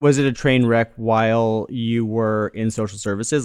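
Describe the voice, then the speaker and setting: Recorded very cleanly with a silent background, a man speaks in a plain, everyday voice at a medium pitch with ordinary pitch variation. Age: 30s. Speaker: podcast host. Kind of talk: casual chat.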